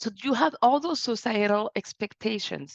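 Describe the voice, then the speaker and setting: A woman speaks with a French accent at a fairly high pitch. The sound is dry and close with no echo, over a quiet background. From France. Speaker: business consultant and speaker. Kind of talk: webinar presentation.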